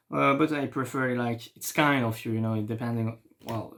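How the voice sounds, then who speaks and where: A man with a French accent talks at a moderate pace and medium pitch. The recording is very clean, with a silent background. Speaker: French teacher. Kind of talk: tutorial. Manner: halting.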